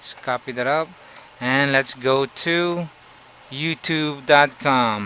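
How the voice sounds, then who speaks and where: With a Filipino accent, a man speaks at a very slow pace and fairly high pitch, showing ordinary pitch variation and long, frequent pauses. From Philippines. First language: Tagalog. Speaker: YouTuber. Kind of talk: tutorial. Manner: halting.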